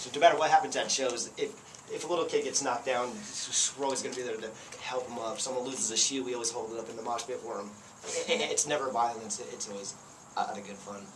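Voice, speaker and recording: A man talks at a very fast pace, with audible echo in the room. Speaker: punk band lead singer. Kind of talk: interview. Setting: camcorder recording. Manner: halting, repeated words.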